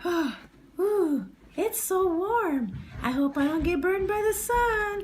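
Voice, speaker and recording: Putting on a cartoonish character voice, a woman talks fairly slowly at an extremely high pitch. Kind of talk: puppet show. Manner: playful, jokey.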